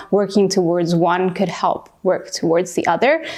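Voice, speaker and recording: Noticeable background noise fills the clip. A woman speaks at medium pitch. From Peru. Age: 20s. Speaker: youth activist. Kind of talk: interview monologue.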